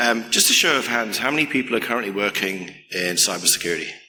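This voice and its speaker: Audible room echo surrounds a man who speaks fairly quickly with lively intonation. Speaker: security researcher, keynote speaker. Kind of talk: conference keynote. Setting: stage with audience.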